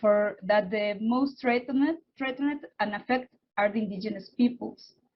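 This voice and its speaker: Fairly high in pitch, a woman talks with a Spanish accent and ordinary pitch variation. Her voice is somewhat breathy, at a moderate pace. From Oaxaca, Mexico. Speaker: environmental activist and researcher. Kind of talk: panel remarks. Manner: halting.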